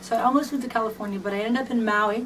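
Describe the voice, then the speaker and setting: The pace is fairly quick, with ordinary pitch variation. Noticeable background noise and audible room echo are present. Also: woman. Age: 30s. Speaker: fan and dancer/performer. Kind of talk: personal video message, reading from a script. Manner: animated, casual.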